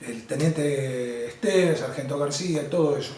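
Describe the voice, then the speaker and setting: At a fairly slow pace, a man speaks with lively intonation. Noticeable background noise and audible room echo surround him. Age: 60s. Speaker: war veteran. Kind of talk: testimony. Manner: halting.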